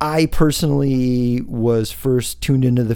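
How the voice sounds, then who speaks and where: A man with an American accent, a dark, mellow tone and fairly even intonation. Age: 40s. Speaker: fitness coach and podcast host. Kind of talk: solo monologue podcast.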